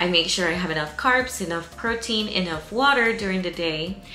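A woman speaks with ordinary pitch variation. Faint music plays in the background, and room echo is audible. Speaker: fitness vlogger. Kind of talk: casual vlog chat. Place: home room.

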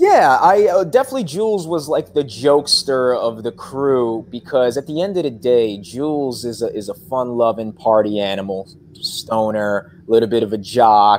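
The speaker is a man with a medium pitch. He keeps a moderate pace, and his pitch shifts in an ordinary way.

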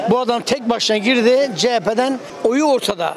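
A man speaks at an extremely high pitch with ordinary pitch variation. Noticeable background noise runs underneath. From southeastern Turkey. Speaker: passerby in street interview. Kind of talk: street interview. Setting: outdoors. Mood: complaining, frustrated about economy. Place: street. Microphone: handheld.

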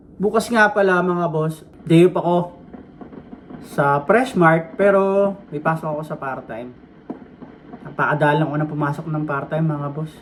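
Light background noise sits behind a man speaking. He keeps a moderate pace and ordinary pitch variation. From Philippines. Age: 40s. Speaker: vlogger. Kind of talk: vlog monologue; casual vlog chat. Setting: walking outdoors. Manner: casual, rambling with fillers. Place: home room. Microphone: phone near.

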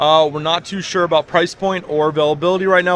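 A man's high-pitched voice at a very fast pace, fairly even in intonation, in a dry sound with no echo and light background noise. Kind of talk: interview answer. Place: hall. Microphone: handheld.

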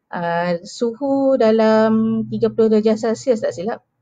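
A woman's very slow, dark, mellow voice over a quiet background. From Malaysia, Kuching, Sarawak; Sarawak, Malaysia. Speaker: charity marketing executive. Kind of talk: live stream storytelling. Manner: hesitant, many fillers. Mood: earnest, reflective. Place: home room. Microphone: headset.

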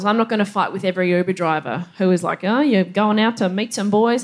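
A woman with an Australian accent speaks over a quiet background. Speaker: stand-up comedian. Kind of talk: stand-up. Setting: stage with audience. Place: stage.

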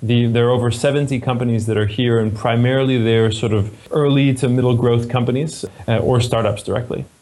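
A man speaks in an American accent at a medium pitch. His intonation stays fairly even, with noticeable background noise. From California, US. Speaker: MBA admissions director. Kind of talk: interview.

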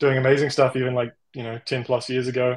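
In a New Zealand accent, a man speaks with monotone, flat intonation against a quiet background. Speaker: generative artist. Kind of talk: interview. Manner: halting, with many fillers. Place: home room. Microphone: video call.

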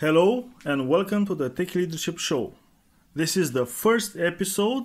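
A man with a non-native accent, high pitch and lively intonation at a moderate pace, on a very clean recording with a silent background. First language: not English. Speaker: podcast co-host. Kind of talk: podcast introduction talk.

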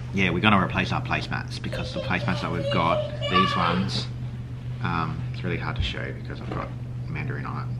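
A man talks at a fairly quick pace with music playing in the background. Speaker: family vlogger. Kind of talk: casual vlog chat. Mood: relaxed, cheerful. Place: kitchen. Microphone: phone near.

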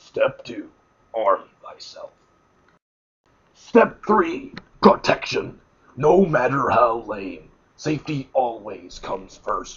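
Long, frequent pauses break up a man's speech, which moves at a very slow pace. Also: big swings in loudness. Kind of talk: mock sports promo narration. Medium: comedy sketch.

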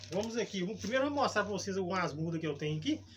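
A very fast, high-pitched man's voice with lively intonation and music in the background. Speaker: gardening channel host. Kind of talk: tutorial. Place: garden.

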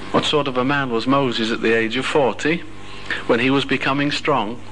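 The speaker talks at a moderate pace. Light background noise can be heard. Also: man. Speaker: religious speaker. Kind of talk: sermon. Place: hall.

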